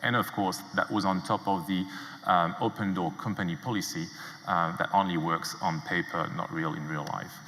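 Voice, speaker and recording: A man talks at a moderate pace in a very deep, low voice with a French accent. Noticeable background noise runs underneath. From France. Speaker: entrepreneur. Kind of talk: conference talk. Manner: hesitant with many fillers.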